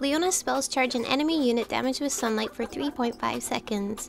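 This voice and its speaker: Over music in the background, a woman talks at a fairly quick pace with a high pitch and ordinary pitch variation. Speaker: video game guide creator. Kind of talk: game tutorial narration.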